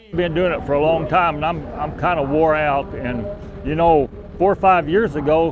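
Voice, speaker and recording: Over noticeable background noise, a man speaks with an American accent at a moderate pace. His pitch is fairly high and his intonation fairly even. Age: 60s. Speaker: cattle farmer. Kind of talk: interview. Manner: halting, repeats words.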